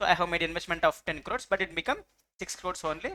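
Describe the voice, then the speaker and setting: A woman speaks in a fairly low pitch with a bright, sharp tone. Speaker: law and audit tutor. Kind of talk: lecture. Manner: mixes Hindi and English.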